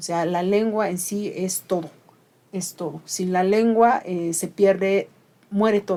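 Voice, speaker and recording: Woman with a dark, mellow tone and fairly even intonation, at a very slow pace. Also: medium pitch for a woman. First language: Ayuuk (Mixe) (speaking Spanish). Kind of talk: interview conversation.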